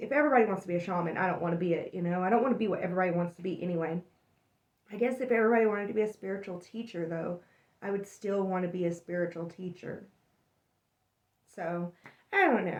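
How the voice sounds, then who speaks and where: A raspy, put-on character voice from a woman, medium in pitch, very fast in pace, with long, frequent pauses. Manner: talking fast.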